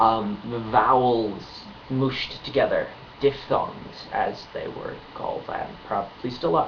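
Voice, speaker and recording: At a fairly slow pace, a man talks while noticeable noise fills the background. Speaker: language teacher. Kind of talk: casual tutorial talk to camera. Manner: hesitant, many filler words.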